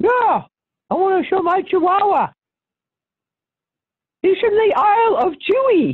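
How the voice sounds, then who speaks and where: Long, frequent pauses break up a put-on character voice delivered at a moderate pace. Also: woman, extremely high pitch for a woman. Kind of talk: comic overacting with exaggerated mask face. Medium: game stream. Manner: proud, overly polite.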